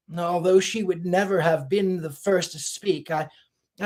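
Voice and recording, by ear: This is reading aloud in a natural voice. Intonation is fairly even against a quiet background.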